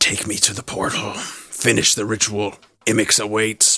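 A man puts on a raspy character voice, pitched fairly low. He delivers it in a monotone, flat intonation at a moderate pace. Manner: commanding, menacing.

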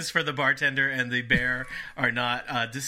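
Someone reads the text aloud plainly.

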